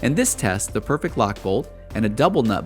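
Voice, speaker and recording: A man's pitch swings very widely as he talks. Behind him, music can be heard. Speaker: documentary-style narrator. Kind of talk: corporate / industrial documentary narration.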